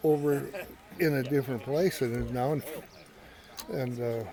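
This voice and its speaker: Over noticeable background noise, a man speaks with medium pitch and an American accent. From western South Dakota, rural. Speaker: family elder, grandfather. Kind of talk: family interview, reminiscing. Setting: family gathering at home ranch. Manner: halting.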